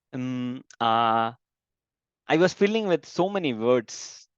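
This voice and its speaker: Against a quiet background, a man with a medium-pitched voice is heard in a dry, close recording with no echo. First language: not English. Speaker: software developer. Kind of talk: interview. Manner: halting.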